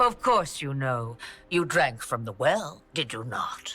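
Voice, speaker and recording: A put-on character voice in a theatrical, amused tone, low-to-middle in pitch, at a fairly slow pace, with faint music in the background. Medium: video game. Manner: knowing, theatrical, wryly amused.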